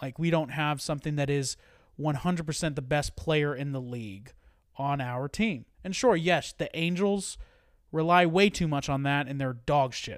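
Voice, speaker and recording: In a very clean recording with a silent background, a man with an unremarkable speaking voice talks at a moderate pace, his fairly high pitch varying in an ordinary way. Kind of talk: casual sports podcast banter.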